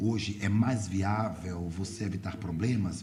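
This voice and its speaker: Somewhat breathy and dark, mellow in tone, a man speaks fairly slowly at a fairly low pitch with ordinary pitch variation amid audible room echo. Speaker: radio host and journalist. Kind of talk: radio interview.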